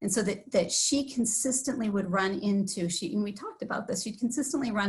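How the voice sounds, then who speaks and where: Speaking very fast with a Wisconsin accent, a woman uses a medium pitch and ordinary pitch variation over noticeable background noise. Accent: Upper Midwest (Wisconsin). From Wisconsin (Sauk Prairie). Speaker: village board member. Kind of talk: personal testimony at public meeting. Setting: livestreamed board meeting.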